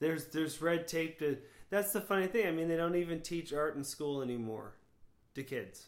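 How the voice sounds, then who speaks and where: The speaker has an American accent and a normal speaking voice. Delivery is fairly quick, with ordinary pitch variation. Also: man, fairly high pitch for a man. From Florida. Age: 40s. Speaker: podcast host. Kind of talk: casual chat.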